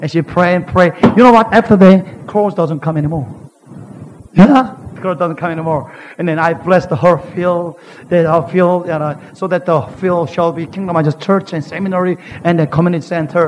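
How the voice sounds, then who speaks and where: A man speaks at a moderate pace with a Korean accent and ordinary pitch variation. His voice is high-pitched, and there is noticeable background noise. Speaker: pastor. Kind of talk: sermon. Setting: church. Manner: animated.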